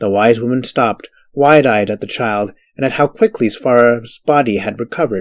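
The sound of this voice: The background stays quiet. An unforced reading voice carries ordinary pitch variation.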